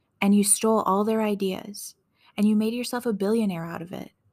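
On a very clean recording with a silent background, a woman speaks in a calm, gentle tone, somewhat breathy, with a fairly high pitch and fairly even intonation. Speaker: podcast host reading wrestling promos. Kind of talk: whispered relaxation reading of a wrestling promo. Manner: soft, calm, gentle delivery of angry words; slow and sleepy, ASMR-like.

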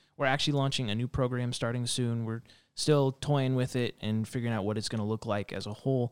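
With an American accent, a man talks at a very fast pace in a medium pitch and fairly even intonation, on a very clean recording with a silent background. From Reno, Nevada. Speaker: children's pastor. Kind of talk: casual chat. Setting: studio.

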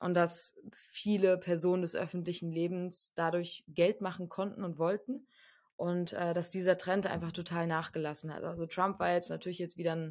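An unremarkable speaking voice from a woman, fairly low in pitch, on a very clean recording with a silent background. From Germany, Frankfurt. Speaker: podcast co-host. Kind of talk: casual chat.

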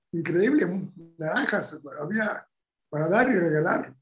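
Music in the background behind a man's speech of ordinary pitch variation. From Bulgaria. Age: 80s+. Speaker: Holocaust survivor. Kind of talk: interview.

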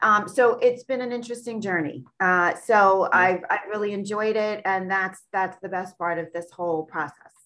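Woman with an American accent, medium in pitch and bright and sharp in tone, at a moderate pace with ordinary pitch variation and hardly any pauses. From Long Island, New York. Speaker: author. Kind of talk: casual interview.

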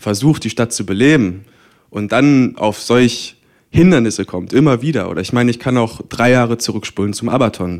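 On a very clean recording with a silent background, a man uses an ordinary speaking voice at medium pitch, moderate pace and ordinary pitch variation. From Magdeburg, Saxony-Anhalt, eastern Germany. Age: 20s. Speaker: student and cultural event organizer. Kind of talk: panel discussion. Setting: stage with audience.

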